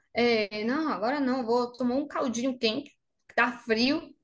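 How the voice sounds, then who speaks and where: A woman with a Spanish accent, high-pitched and fairly slow, with ordinary pitch variation. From Argentina, Bariloche (Patagonia). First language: Spanish (speaking Portuguese). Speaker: makeup artist. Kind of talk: interview.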